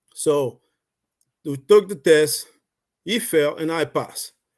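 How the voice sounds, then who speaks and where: This man speaks with a Haitian accent at a fairly slow pace, with ordinary pitch variation. The recording is very clean, with a silent background. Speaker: network marketing member, Navy veteran. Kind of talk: personal testimony on a livestream. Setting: live video stream.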